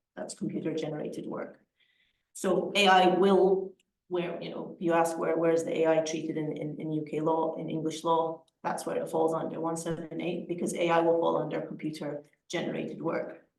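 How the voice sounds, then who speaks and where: Intonation stays monotone and flat as a woman speaks. Her pitch is fairly low and her pace fairly quick. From Scotland. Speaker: lawyer. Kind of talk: lecture. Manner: halting, many repetitions and fillers.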